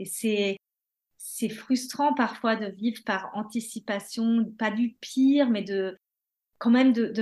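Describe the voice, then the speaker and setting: A woman speaks at a very slow pace and a fairly high pitch, somewhat breathy. Her tone is calm and her intonation fairly even. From France or Germany, bicultural. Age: 30s. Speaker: mother sharing mental health story. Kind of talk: testimony.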